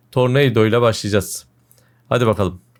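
On a very clean recording with a silent background, a man speaks at a fairly quick pace. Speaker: gaming video creator. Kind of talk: gameplay commentary. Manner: animated.

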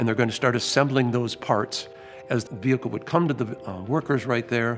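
Clear music can be heard behind the speaker. He is a man talking at a fairly quick pace. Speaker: museum guide or historian in period costume. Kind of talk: interview answer. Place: hall.

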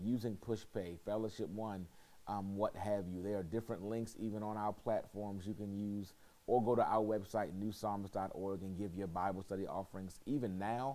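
At a moderate pace, a man talks in a fairly low pitch with a dark, mellow tone. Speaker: pastor leading bible study. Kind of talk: prayer and church announcements. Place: hall.

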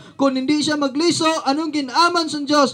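In a Western Visayas accent, a man talks in an animated, bright, sharp tone at an extremely high pitch. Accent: Hiligaynon (Ilonggo) accented Filipino. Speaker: street preacher. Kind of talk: street sermon, fiery preaching. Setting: outdoors, addressing a crowd in a neighborhood. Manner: animated, forceful, rhetorical questions; confrontational, warning of judgment. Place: open country. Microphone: camera far.

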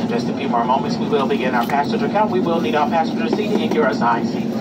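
A man rushes through his words at a very fast rate while loud background noise goes on. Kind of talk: safety announcement. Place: plane. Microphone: pa.

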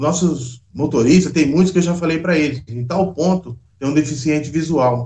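This man's voice sits fairly high in pitch and is somewhat breathy, moving at a moderate pace with ordinary pitch variation. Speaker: bus driver. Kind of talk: interview answer. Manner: casual, conversational.

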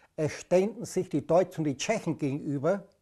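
A man speaks in a high pitch with a dark, mellow tone. The background is quiet. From German-speaking Bohemia, Czechoslovakia (Eger/Cheb). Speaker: anti-fascist resistance veteran. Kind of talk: testimony.

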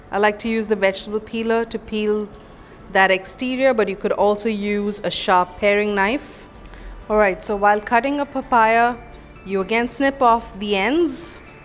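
Over faint background music, a woman speaks at a moderate pace with ordinary pitch variation. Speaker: home cook host. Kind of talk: cooking tutorial. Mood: cheerful, friendly. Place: kitchen.

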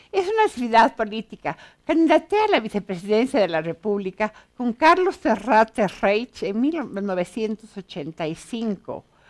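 Against a quiet background, a woman with a fairly high pitch speaks at a moderate pace, her voice making very wide pitch swings. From Bolivia, La Paz. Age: 60s. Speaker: author and educator; educator. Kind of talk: TV interview. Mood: warm, animated, smiling. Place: studio.

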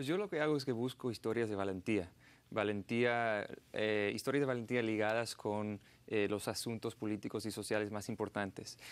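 An English accent at a moderate pace with fairly even intonation. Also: man, fairly low pitch for a man. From United States. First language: English (speaking Spanish). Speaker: journalist and filmmaker; journalist. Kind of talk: TV interview. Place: studio. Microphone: lapel.

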